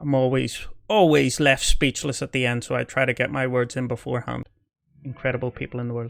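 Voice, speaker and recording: Speaking at a fairly quick pace, a man with a medium pitch talks in a Belfast accent. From Northern Ireland, Belfast. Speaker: army veteran reacting to videos. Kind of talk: reaction commentary. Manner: hesitant, repeats words.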